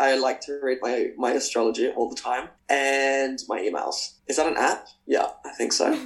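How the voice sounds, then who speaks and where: A man with an Australian accent keeps a moderate pace with hardly any pauses. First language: Spanish. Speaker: professional dancer. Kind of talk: casual interview.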